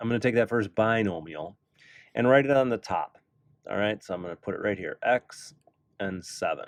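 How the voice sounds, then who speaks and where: An unremarkable speaking voice at a fairly quick pace, with ordinary pitch variation and a dry, close sound with no echo. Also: man. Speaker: math teacher. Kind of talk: tutorial. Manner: casual.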